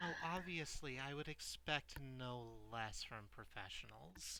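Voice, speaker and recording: Using a put-on character voice, a man speaks at a medium pitch and a fairly slow pace. Clear background noise can be heard. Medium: actual play. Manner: cool, businesslike.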